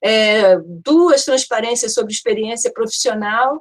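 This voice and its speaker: Her high-pitched woman's voice moves at a moderate pace. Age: 60s. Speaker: architecture professor. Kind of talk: academic seminar talk. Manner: hesitant, repeats words.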